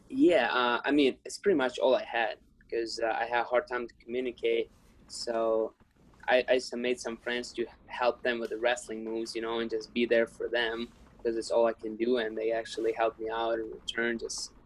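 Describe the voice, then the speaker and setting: Someone with a Ukrainian accent speaks at a moderate pace. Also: man. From Ukraine. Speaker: wrestler. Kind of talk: interview.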